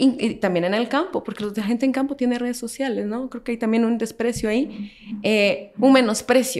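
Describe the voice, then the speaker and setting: With a normal speaking voice, a woman talks at a moderate pace and fairly high pitch, using ordinary pitch variation. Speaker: historian and social media creator. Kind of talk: casual chat.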